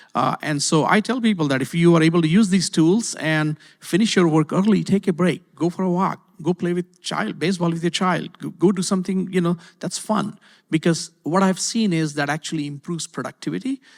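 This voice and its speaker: Speaking fairly quickly with a non-native accent, a man with a high pitch shows ordinary pitch variation on a very clean, dry, close recording with a silent background and no echo. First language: not English. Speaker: university IT executive. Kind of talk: panel discussion. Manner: hesitant, many fillers and repeats.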